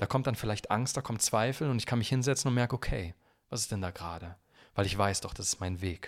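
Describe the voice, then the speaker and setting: Over a silent background on a very clean recording, a man talks at a very fast pace. His pitch is fairly low, with ordinary variation. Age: 20s. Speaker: singer-songwriter. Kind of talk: casual chat.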